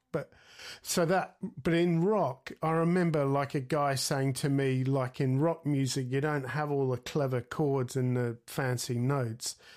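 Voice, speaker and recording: A man with an Australian accent, fairly high in pitch, at a fairly slow pace with fairly even intonation, in a very clean recording over a silent background. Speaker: guitarist and podcast host. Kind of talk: interview.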